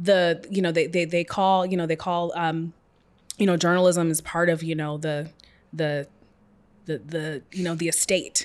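Moderate pace and monotone, flat intonation in an American accent. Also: woman, fairly low pitch for a woman. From US Pacific Northwest, Seattle. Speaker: journalist and author. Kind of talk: casual interview.

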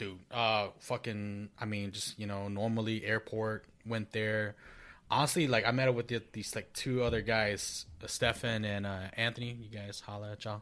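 A man with an American accent speaks at a moderate pace and a fairly low pitch. His intonation is monotone and flat, and the recording is very clean with a silent background. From Minnesota. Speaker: podcast co-host. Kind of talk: casual chat.

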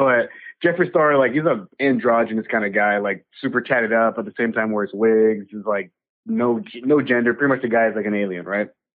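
With a normal speaking voice, a man talks at a medium pitch and a fairly quick pace, with ordinary pitch variation. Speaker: podcaster. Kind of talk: casual chat.

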